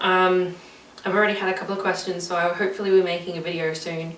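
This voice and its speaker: With an Australian accent, a woman speaks at medium pitch amid noticeable background noise and audible room echo. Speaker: vlogger. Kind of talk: casual vlog chat. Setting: recorded alone on camera. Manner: rambling, many fillers.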